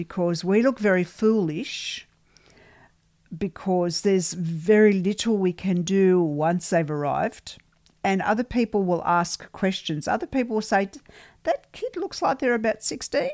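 The recording is very clean, with a silent background. A woman speaks at a fairly slow pace and medium pitch. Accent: Australian. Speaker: podcast host and ghost hunter. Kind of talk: casual chat podcast.

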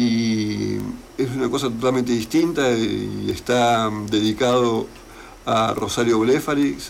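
A man speaks at a medium pitch with very even loudness and ordinary pitch variation. His pace is very slow, and there is audible room echo. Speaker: poet and journalist. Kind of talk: interview. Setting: radio studio.

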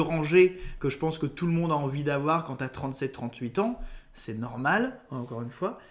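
Moderately paced speech from a man, fairly high in pitch, with ordinary pitch variation. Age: 20s. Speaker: local radio presenter. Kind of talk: casual chat. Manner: halting.

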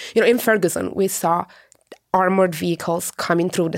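Talking at a fairly quick pace, a woman has a fairly low voice with vocal fry. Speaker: journalist. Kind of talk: interview.

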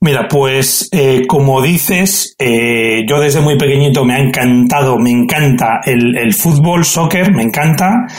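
The speaker has a Castilian accent and talks at a fairly slow pace with hardly any pauses, with ordinary pitch variation. Loudness stays very even over noticeable background noise. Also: man, fairly high pitch for a man. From Extremadura, Spain. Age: 40s. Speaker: football referee. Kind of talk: interview.

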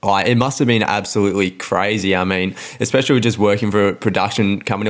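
A man with an Australian accent at a fairly low pitch and very fast pace, over noticeable background noise. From Melbourne, Australia. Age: 20s. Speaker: podcast co-host. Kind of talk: interview. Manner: energetic.

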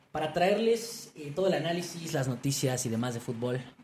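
With a Mexican accent, a man talks with lively intonation against noticeable background noise. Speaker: football podcast co-host. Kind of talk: casual chat.

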